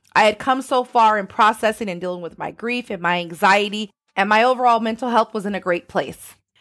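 Talking at a fairly quick pace with hardly any pauses, a woman uses a fairly high voice with ordinary pitch variation, a plain, everyday voice. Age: 40s. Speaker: podcast host. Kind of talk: motivational monologue.

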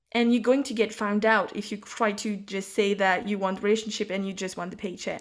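Delivered in a monotone, flat intonation, a woman's medium-pitched voice moves at a fairly quick pace. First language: French. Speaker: psychic and intuitive business mentor. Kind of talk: casual chat.

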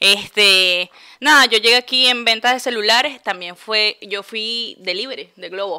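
On a very clean recording with a silent background, a woman with a bright, sharp tone talks at a fairly slow pace, with ordinary pitch variation and big swings in loudness. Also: fairly high pitch for a woman. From Venezuela, Puerto Ordaz. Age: 20s. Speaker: podcast co-host. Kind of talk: casual chat.

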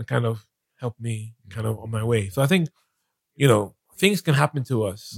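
Somewhat breathy delivery at a fairly quick pace, with lively intonation, big swings in loudness, long, frequent pauses, and a dry, close sound with no echo. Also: man, medium pitch for a man. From Nigeria. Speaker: business executive and author. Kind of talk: casual interview. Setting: studio.

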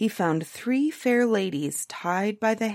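Lively intonation runs through the speaker's natural reading voice.

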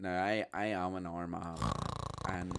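Talking at a fairly slow pace, a man speaks with a Northern Irish accent. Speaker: podcast co-host, theatre performer. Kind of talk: casual chat.

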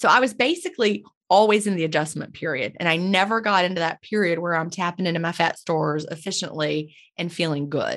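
Against a quiet background, a woman with an unremarkable speaking voice talks at a fairly quick pace, her fairly low pitch showing ordinary variation. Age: 50s. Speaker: intermittent fasting educator, former teacher. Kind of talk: interview.

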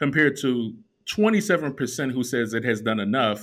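A man with an American accent, fairly quick pace and very wide pitch swings. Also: very clean recording, silent background. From Chicago. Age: 40s. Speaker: podcast host. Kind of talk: casual chat.

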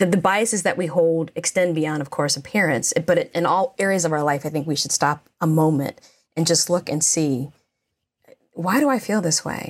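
A woman with an American accent and a fairly low pitch speaks at a moderate pace with lively intonation. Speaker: podcast co-host. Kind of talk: casual panel discussion. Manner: articulate.

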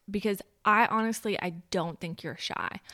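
Bright and sharp in tone, a woman's voice rises and falls with ordinary pitch variation. The recording is very clean, with a silent background. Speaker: guest. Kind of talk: casual chat.

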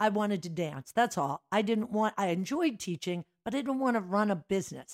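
An unremarkable speaking voice with an American accent and lively intonation, dry and close with no echo, in a very clean recording with a silent background. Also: woman. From Philadelphia area, Pennsylvania. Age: 60s. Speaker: dance studio owner. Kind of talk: casual chat.

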